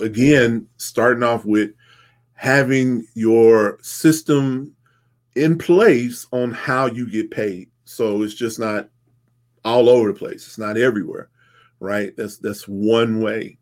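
At a very slow pace, a man speaks at medium pitch. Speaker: tax accountant and business host. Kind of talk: solo business talk show.

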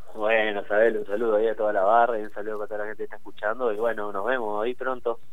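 A man's fairly low voice, very fast and monotone, with flat intonation, hardly any pauses and audible room echo. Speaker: musician. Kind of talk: interview. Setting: phone call.

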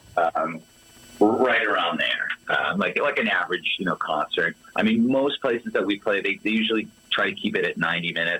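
A man with an American accent speaks at a fairly quick pace and very even loudness over noticeable background noise. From US Northeast, Boston suburbs. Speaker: tribute band guitarist. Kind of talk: casual interview.

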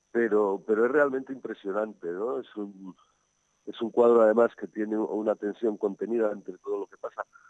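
In a dry, close sound with no echo, a man speaks with a fairly low pitch and fairly even intonation. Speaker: architect and art commentator. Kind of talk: casual chat. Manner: halting.

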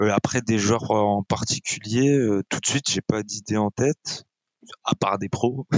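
A man with an ordinary speaking voice, fairly slow and with fairly even intonation. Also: fairly low pitch for a man. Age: 30s. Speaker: esports player. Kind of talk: casual chat.

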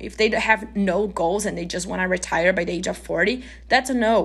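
A woman speaks at medium pitch with a non-native accent. Noticeable background noise is present. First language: not English. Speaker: podcast host. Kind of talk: casual solo podcast monologue.

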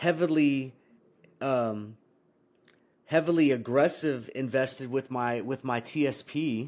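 Recorded very cleanly against a silent background, a man talks at a fairly slow pace with fairly even intonation and a medium pitch. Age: 40s. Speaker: army veteran and trading educator. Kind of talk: casual chat.

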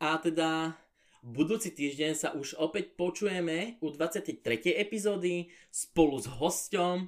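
A man's high voice at a fairly slow pace, with ordinary pitch variation. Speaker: podcast host. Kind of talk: casual monologue. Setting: home pantry.

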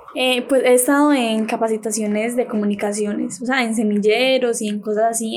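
At a moderate pace, a woman talks in a normal speaking voice with fairly high pitch and fairly even intonation. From Valdivia, Antioquia, Colombia. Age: 20s. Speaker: trainee radio announcer. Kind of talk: casual interview.

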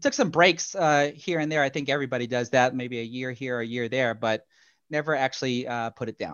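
Talking at a fairly quick pace, a man uses a normal speaking voice at medium pitch with ordinary pitch variation. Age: 30s. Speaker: YouTube pool instructor. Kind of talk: interview.

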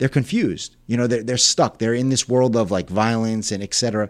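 A man is speaking. His pace is very fast. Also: very clean recording, silent background. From Long Island, New York. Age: 30s. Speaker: former prisoner sharing conversion story. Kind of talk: testimony.

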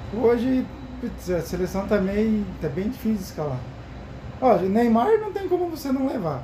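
A man's high-pitched voice with very wide pitch swings, a moderate pace, long, frequent pauses, audible room echo and noticeable background noise. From Paraná, southern Brazil. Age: 30s. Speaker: football commentator among coworkers. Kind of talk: casual chat.

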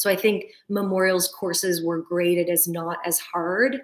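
A woman with a plain, everyday voice and a fairly low pitch speaks at a moderate pace with fairly even intonation. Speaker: physiotherapist. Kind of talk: interview conversation.

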